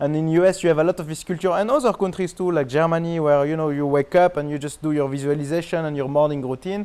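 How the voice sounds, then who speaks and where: Talking at a very fast pace with hardly any pauses, a man with a French accent has a dark, mellow tone and fairly even intonation. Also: fairly high pitch for a man. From France. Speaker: marketing expert. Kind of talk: interview.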